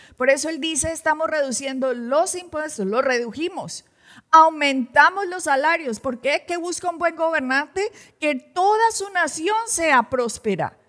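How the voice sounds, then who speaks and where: Her voice is high in pitch with lively intonation. The woman talks at a fairly slow pace. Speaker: pastor presenting news commentary. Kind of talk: religious news commentary. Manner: animated.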